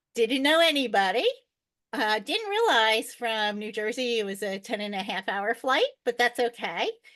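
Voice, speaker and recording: Her tone is bright and sharp, and this woman's pitch varies in an ordinary way. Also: moderate pace. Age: 60s. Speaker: world traveler. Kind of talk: podcast interview.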